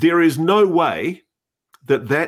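With an Australian accent and audible vocal fry, the speaker talks at a very slow pace on a very clean recording with a silent background. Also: man. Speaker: podcast co-host and journalist. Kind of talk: casual chat. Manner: animated.

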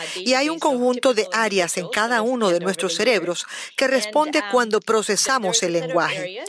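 Speaking at a moderate pace, a woman uses lively intonation and a fairly high pitch. Noticeable background noise can be heard. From Russia. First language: Russian (speaking Spanish). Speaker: neuroscience professor. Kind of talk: interview.

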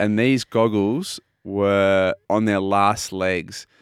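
In a very clean recording with a silent background and a dry, close sound free of echo, a man speaks with an Australian accent. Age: 30s. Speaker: sports radio host, retired swimmer. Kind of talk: casual chat.

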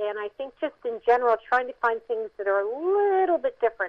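Here a woman speaks with an American accent in a plain, everyday voice. Her pace is fairly quick and her intonation lively. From New Jersey (Mount Holly). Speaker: film producer. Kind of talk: interview.

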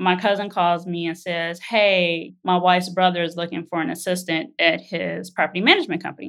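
In a very clean recording with a silent background, a woman talks at a fairly quick pace with hardly any pauses, using a normal speaking voice at fairly low pitch with fairly even intonation. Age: 30s. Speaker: real estate agent sharing her money story. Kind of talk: personal testimony interview.

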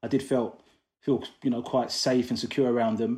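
A man talks at a very fast pace with a medium pitch. His tone is dark and mellow over a quiet background. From London, England. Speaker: equal rights activist. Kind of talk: interview.

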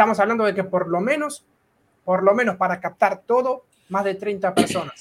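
The speaker has an Argentine accent. Pitch variation is ordinary. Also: man, high pitch for a man, moderate pace. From Argentina. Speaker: data scientist and physicist. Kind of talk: casual interview chat.

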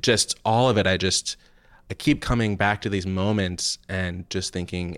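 A man has an unremarkable speaking voice, fairly low in pitch with ordinary pitch variation, at a moderate pace. The recording is very clean, with a silent background. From New Jersey. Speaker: film critic. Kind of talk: casual chat.

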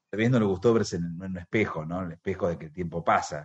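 A man with a very deep, low pitch. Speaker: radio host. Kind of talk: radio interview. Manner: halting.

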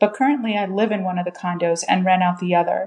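A woman at a medium pitch, with an unremarkable speaking voice and fairly even intonation. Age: 40s. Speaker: caller. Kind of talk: recorded question.

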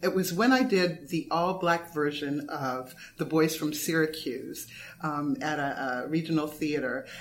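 Audible room echo surrounds a woman with a very deep, low pitch. She speaks in a Californian accent with ordinary pitch variation. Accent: General American, Californian. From US West Coast, Los Angeles. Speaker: playwright and former dancer. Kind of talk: interview conversation. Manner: hesitant, many fillers.

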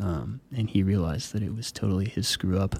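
Over a very clean recording with a silent background, a man speaks at a moderate pace in a plain, everyday voice with a fairly low pitch. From military family, moved around; Flagstaff, Arizona. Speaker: electronic musician. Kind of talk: radio interview.

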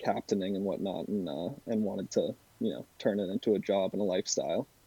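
A man with an American accent, fairly low in pitch, fairly even in intonation, at a moderate pace. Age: 20s. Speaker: charter fishing captain. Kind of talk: casual interview.

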